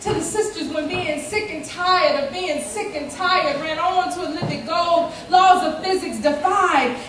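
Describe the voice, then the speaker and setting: A woman with an extremely high pitch, moderate pace and noticeable background noise. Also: ordinary pitch variation. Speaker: spoken word poet. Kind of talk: spoken word poetry performance.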